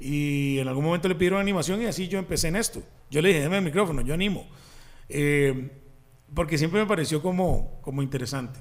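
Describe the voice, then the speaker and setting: A man talks very fast with a Costa Rican accent. His pitch varies in an ordinary way. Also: fairly high pitch for a man. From Costa Rica, Desamparados. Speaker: comedian. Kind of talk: casual chat.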